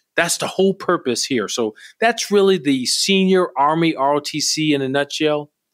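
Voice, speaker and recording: In an ordinary speaking voice, a man talks at a fairly slow pace with fairly high pitch and ordinary pitch variation, on a very clean recording with a silent background. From US Midwest, Milwaukee, Wisconsin. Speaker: army general. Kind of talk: interview.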